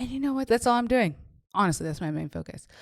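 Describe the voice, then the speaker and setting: The tone is animated, with lively intonation. The recording is very clean with a silent background. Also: woman. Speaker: faith and business coach. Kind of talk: podcast monologue. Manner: fast.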